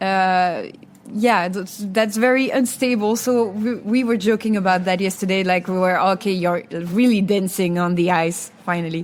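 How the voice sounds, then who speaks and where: At a moderate pace and medium pitch, a woman with a Belgian accent speaks with fairly even intonation. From Wallonia, Belgium. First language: French. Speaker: singer, contest entrant. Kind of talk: interview. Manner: halting, many repetitions.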